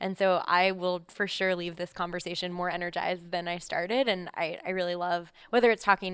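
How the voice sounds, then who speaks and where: A woman with an American accent and a normal speaking voice talks at a fairly quick pace, her pitch fairly low. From US Midwest, Columbus, Ohio. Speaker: company executive. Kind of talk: interview. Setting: company office.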